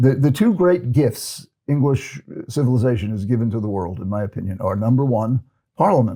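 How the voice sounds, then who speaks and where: A man with a medium-pitched, dark, mellow, somewhat breathy voice talks at a fairly quick pace with lively intonation. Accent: American. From United States. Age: 70s. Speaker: psychiatrist and ADHD expert. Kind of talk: interview conversation. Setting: podcast recording in London. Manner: halting, many repetitions.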